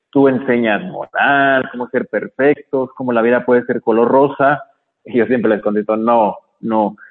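A man's plain, everyday voice at medium pitch, fairly slow pace, ordinary pitch variation. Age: 30s. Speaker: motivational speaker and case worker. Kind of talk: radio interview.

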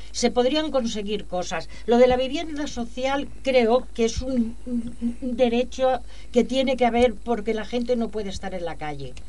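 Amid audible room echo, a high-pitched woman speaks at a fairly slow pace with hardly any pauses. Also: ordinary pitch variation. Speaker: activist. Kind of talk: radio interview.

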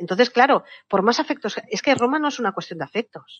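Her voice sits fairly high for a woman and carries vocal fry. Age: 40s. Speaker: novelist and history communicator. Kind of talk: casual interview.

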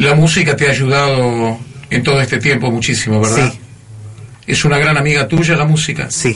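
Over noticeable background noise, a man with a fairly high pitch speaks at a moderate pace and with fairly even intonation. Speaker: radio host. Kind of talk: radio show, warm interview. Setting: radio studio.

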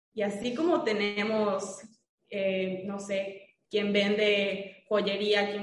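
A woman speaks at a medium pitch, somewhat breathy. Audible room echo surrounds her voice. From Mérida, Yucatán, Mexico. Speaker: dentist. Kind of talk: casual interview.

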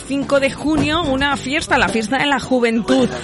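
A high-pitched woman at a fairly slow pace with fairly even intonation, over noticeable background noise. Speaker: local radio host. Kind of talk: radio chronicle of past events with music.

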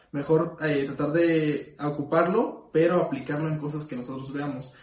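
A man's fairly high-pitched voice with ordinary pitch variation and audible room echo. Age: 20s. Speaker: podcast co-host. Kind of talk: casual chat.

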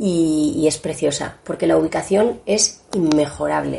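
This woman speaks in a fairly low pitch. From Spain, Asturian family, summers in Asturias. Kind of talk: interview. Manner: halting, many repetitions.

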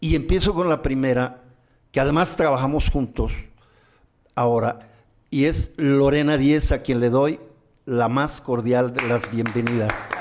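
The loudness stays very even, with ordinary pitch variation. The pace is fairly slow, and long pauses come often. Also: man, medium pitch for a man. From Mexico. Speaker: podcast host and comedian-entertainer. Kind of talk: casual talk show chat. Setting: studio.

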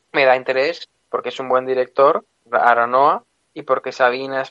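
The man's tone is bright and sharp. The sound is dry and close, with no echo. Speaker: film radio contributor. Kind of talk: casual film chat. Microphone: too quiet.

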